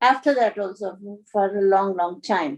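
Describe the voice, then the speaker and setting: A woman with an Indian accent, medium in pitch, at a fairly slow pace. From India, Dehradun. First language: Hindi. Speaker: spiritual storyteller. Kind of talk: personal storytelling. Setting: video call. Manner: halting.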